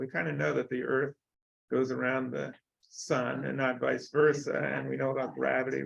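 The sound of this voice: A man with a medium-pitched, fairly bright voice speaks with fairly even intonation and some vocal fry.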